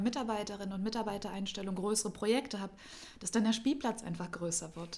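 A woman at a very fast pace with fairly even intonation over noticeable background noise. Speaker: civic association director. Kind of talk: casual interview. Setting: studio.

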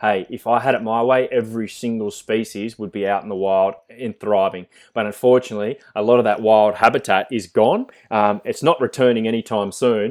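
Fairly quick and fairly even in intonation, a man with an Australian accent speaks at a medium pitch on a very clean recording with a silent background. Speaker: zookeeper. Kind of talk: interview.

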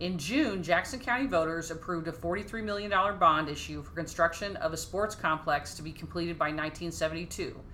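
A woman with an American accent speaks at a moderate pace and fairly low pitch, with hardly any pauses, ordinary pitch variation and big swings in loudness. Audible room echo and noticeable background noise fill the recording. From Dallas, Texas. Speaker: podcast co-host. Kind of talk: casual chat.

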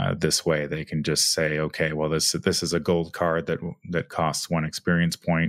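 A man speaks with very deep, low pitch and monotone, flat intonation at a moderate pace. The sound is dry and close, with no echo. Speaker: podcast co-host. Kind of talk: casual chat.

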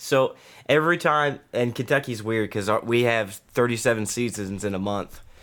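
Recorded very cleanly over a silent background, a man speaks in a normal speaking voice at a medium pitch. His pace is moderate and his pitch variation ordinary. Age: 30s. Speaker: military instructor and streamer. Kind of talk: casual chat.

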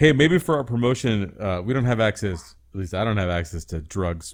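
A man with an unremarkable speaking voice talks at a fairly quick pace in a fairly low pitch. His intonation is lively. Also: very clean recording, silent background. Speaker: podcast co-host. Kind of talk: casual comedy podcast chat.

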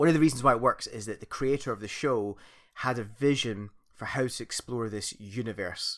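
A man with a Scottish accent speaks at a moderate pace with long, frequent pauses, a medium pitch and ordinary pitch variation, in a very clean recording with a silent background. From Scotland. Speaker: podcast host. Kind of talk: casual chat.

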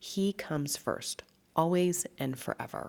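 A woman's very deep, low voice with an animated tone and lively intonation, on a very clean recording with a silent background. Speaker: nutritionist podcast host. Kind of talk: solo health talk. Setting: echoey large room with stucco walls.

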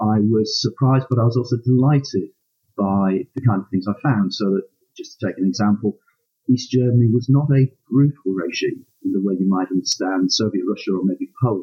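A man speaks at a fairly quick pace in a medium pitch. His voice is somewhat breathy, with ordinary pitch variation. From northern England, Hull. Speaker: aspiring novelist, university administrator. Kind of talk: interview. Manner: hesitant, many ums.

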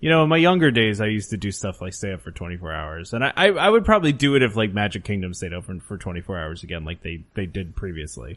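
With very wide pitch swings and big swings in loudness, a man with a fairly low pitch talks at a very fast pace with hardly any pauses. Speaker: podcast host. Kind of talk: casual chat.

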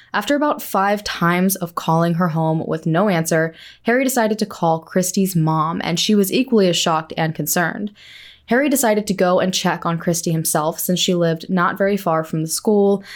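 In a very clean recording with a silent background, a woman with an unremarkable speaking voice talks at a fairly quick pace, at medium pitch, with ordinary pitch variation and very even loudness. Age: 20s. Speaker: podcast co-host. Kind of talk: casual chat and scripted crime narration.

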